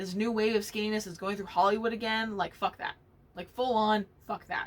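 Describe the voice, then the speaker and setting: Animated in tone, a woman with an American accent speaks at a fairly high pitch with ordinary pitch variation. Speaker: knitting podcast host. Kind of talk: casual monologue. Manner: loud when passionate.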